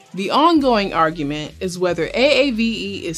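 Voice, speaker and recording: A woman's pitch swings very widely as noticeable background noise sounds behind her. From US, Detroit area, Michigan. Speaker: educational video presenter. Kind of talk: explainer narration.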